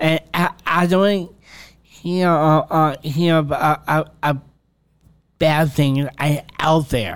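Speaking very slowly with an American accent, a man keeps a fairly high pitch, fairly even intonation and very even loudness, with long, frequent pauses. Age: 20s. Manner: halting.

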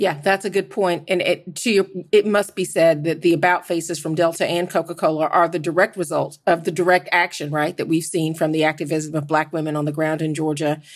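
A woman's plain, everyday voice, fairly low in pitch, fairly quick and with hardly any pauses, with fairly even intonation. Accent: American. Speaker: journalist. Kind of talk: roundtable discussion.

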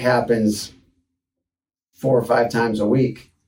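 A man's dark, mellow, medium-pitched voice in an American accent, monotone and flat, at a moderate pace with audible room echo. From Detroit, Michigan, US. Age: 40s. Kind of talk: casual personal storytelling monologue.

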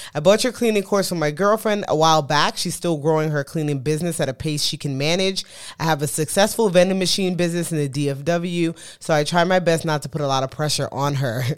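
A woman with a New York accent talks very fast at a very deep, low pitch. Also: ordinary pitch variation. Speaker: podcast co-host. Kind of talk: casual chat. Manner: fast talker.

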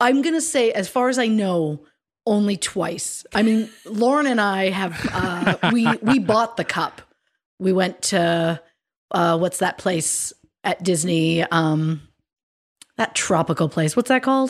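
With a Canadian accent and an ordinary speaking voice, a woman talks at a medium pitch and a fairly slow pace, her intonation lively and her loudness very even. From Canada, Ontario. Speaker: true crime podcast co-host. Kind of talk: casual chat. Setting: video call.

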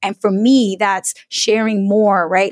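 This woman has an unremarkable speaking voice with an American accent and fairly even intonation. The sound is dry and close, with no echo. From US Northeast, Brooklyn New York. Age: 30s. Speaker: personal finance educator. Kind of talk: interview.

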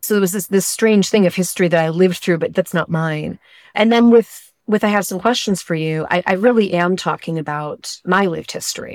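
This woman has a normal speaking voice at a medium pitch with ordinary pitch variation. She goes at a fairly quick pace with hardly any pauses, in a very clean recording with a silent background. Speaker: novelist. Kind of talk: interview.

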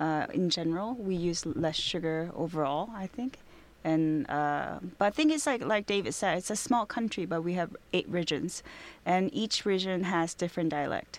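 Speaking with a Korean accent, a woman keeps a moderate pace. The recording is very clean with a silent background. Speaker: restaurateur. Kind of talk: interview. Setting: studio. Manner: halting.

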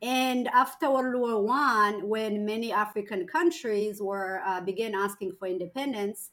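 A woman speaks at a fairly slow pace, her pitch medium with ordinary variation. Her tone is fairly bright.

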